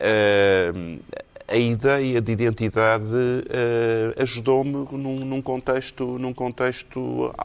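A man talks at a medium pitch. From Portugal. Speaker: cultural commentator. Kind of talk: panel discussion. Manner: halting.

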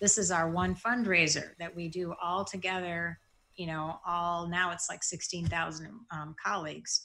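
In a Midwestern American accent, a woman with a fairly low pitch and a bright, sharp tone speaks at a fairly slow pace with fairly even intonation. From Michigan, US Midwest. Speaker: bank executive and cancer patient. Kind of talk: interview testimony. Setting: at her desk.

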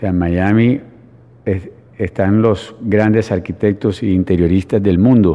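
A man with a fairly low pitch talks at a fairly slow pace, with fairly even intonation and long, frequent pauses. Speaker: real estate developer. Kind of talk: radio interview. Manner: halting, with frequent false starts.

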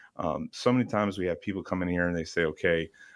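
The recording is very clean, with a silent background. The speaker has an American accent and a fairly quick pace. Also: man. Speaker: financial advisor. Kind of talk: financial advice radio discussion. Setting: studio. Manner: conversational with frequent fillers.

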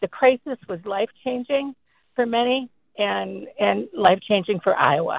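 At a fairly slow pace, the woman talks. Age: 60s. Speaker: caller. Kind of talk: call-in testimony. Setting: phone call.

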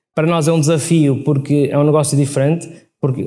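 A man's dark, mellow voice, fairly high in pitch, monotone and flat, at a fairly quick pace, with audible room echo. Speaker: logistics company CEO. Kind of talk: live interview. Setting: stage with audience. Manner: halting, many repetitions.

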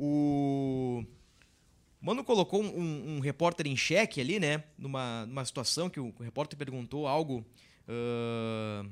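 In an unremarkable speaking voice, the speaker talks at a fairly slow pace with ordinary pitch variation in a very clean recording with a silent background. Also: man, fairly high pitch for a man. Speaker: sports reporter and podcast host. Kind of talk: football podcast discussion. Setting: studio.

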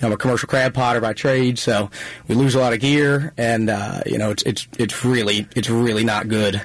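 A man with a Baltimore accent at medium pitch, at a fairly quick pace with fairly even intonation and very even loudness, amid noticeable background noise. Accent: Baltimore-area Maryland. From Maryland, Pasadena area. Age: 20s. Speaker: waterman. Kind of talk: radio interview. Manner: casual, filler-heavy.

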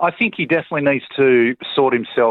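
This is a man with an Australian accent. His pitch variation is ordinary. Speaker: clergyman caller. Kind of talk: talkback call. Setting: phone call.

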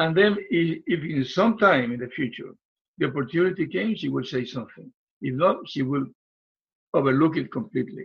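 A man with a fairly high pitch, vocal fry and a Puerto Rican accent, talking at a fairly quick pace with lively intonation. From Puerto Rico. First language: Spanish. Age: 70s. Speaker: relationship coach. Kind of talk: interview, conversational.

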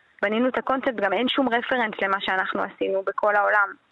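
A woman speaks at a fairly quick pace with fairly even intonation and a fairly high pitch. Her tone is bright and sharp. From Israel. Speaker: filmmaker and entrepreneur. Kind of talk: radio interview.

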